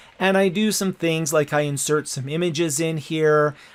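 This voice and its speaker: A man speaks with a fairly high pitch and ordinary pitch variation. Noticeable background noise runs through the clip. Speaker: educational technology instructor. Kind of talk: tutorial.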